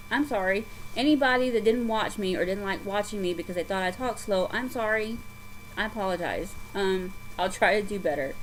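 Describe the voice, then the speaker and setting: Talking at a fairly quick pace in an American accent, a woman keeps a medium pitch with ordinary variation. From US South. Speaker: craft vlogger. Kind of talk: casual chat. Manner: halting.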